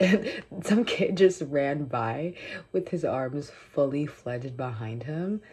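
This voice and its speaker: A woman with a very deep, low pitch and a dark, mellow tone speaks very slowly and somewhat breathily, her pitch swinging very widely. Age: 20s. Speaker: vlogger. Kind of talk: casual chat. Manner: casual, with many fillers.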